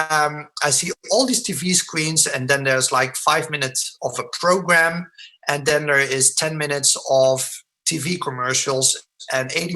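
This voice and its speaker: Bright and sharp in tone, a man speaks at a moderate pace. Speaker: product presenter. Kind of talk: sales presentation. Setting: online webinar with screen share. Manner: mumbling.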